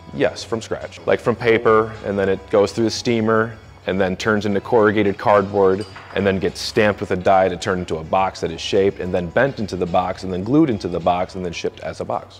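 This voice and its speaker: Over noticeable background noise, a man speaks fairly quickly at a fairly low pitch with fairly even intonation. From Michigan, US Midwest. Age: 30s. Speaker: avionics wire technician. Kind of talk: interview answers. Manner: casual, hesitant with fillers.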